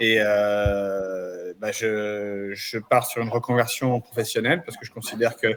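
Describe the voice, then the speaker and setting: The man's intonation stays fairly even, and noticeable noise can be heard behind him. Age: 50s. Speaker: trainee. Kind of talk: self-introduction.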